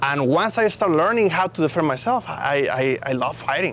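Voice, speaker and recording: A man talks at a fairly quick pace with a Mexican accent and lively intonation, his pitch fairly high. Noticeable background noise runs underneath. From Mexico. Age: young. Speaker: racing driver. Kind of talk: casual chat. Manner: halting, repeats words.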